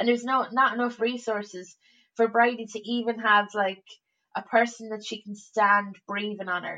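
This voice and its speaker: A woman with an Irish accent speaks in a fairly high pitch with monotone, flat intonation and big swings in loudness. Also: moderate pace. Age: 30s. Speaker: comedian. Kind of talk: casual chat. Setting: remote call over the internet.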